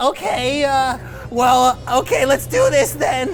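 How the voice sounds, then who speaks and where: A put-on, whiny character voice, high-pitched and fairly slow, over clear music in the background. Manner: whining.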